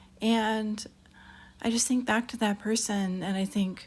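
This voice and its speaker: Somewhat breathy and fairly high-pitched, a woman talks at a fairly slow pace with fairly even intonation. The recording is very clean, with a silent background. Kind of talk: personal storytelling monologue.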